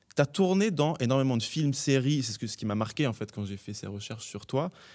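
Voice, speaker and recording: A man with an ordinary speaking voice talks at a fairly quick pace, his fairly high pitch carrying lively intonation on a very clean recording with a silent background. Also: big swings in loudness. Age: 30s. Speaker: podcast host. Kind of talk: casual interview. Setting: theatre stage.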